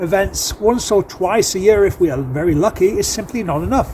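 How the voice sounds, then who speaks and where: A man with a Manchester accent talks in a high voice with lively intonation over noticeable background noise. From northern England, Manchester. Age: 50s. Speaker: accountant and election candidate. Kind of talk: campaign video address.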